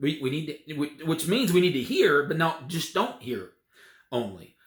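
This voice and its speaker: A man with a fairly high pitch talks at a moderate pace with vocal fry. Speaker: preacher. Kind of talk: sermon, preaching to a congregation.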